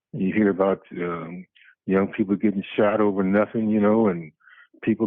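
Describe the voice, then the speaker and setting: A soft-spoken man talks at a fairly slow pace. His voice is fairly low in pitch. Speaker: churchgoing ex-Marine caller. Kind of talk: casual chat. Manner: peaceful, soft-spoken; halting, many fillers.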